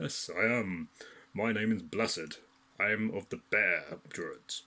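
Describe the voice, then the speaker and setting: A man puts on a character voice, speaking fairly slowly at a fairly low pitch. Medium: read story. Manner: jovial.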